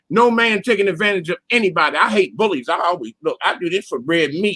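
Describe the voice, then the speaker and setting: The man's voice is raised and projected, high in pitch, with a bright, sharp tone and lively intonation. The sound is dry and close, with no echo. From US Northeast, Philadelphia. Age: 60s. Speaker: caller. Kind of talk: casual chat. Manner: animated.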